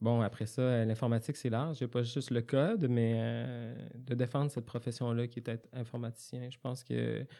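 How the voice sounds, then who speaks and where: A man with a Quebec accent, dark, mellow tone, medium pitch, monotone, flat intonation and moderate pace, in a very clean recording with a silent background. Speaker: software developer, former student. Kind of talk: interview. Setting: studio. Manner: halting.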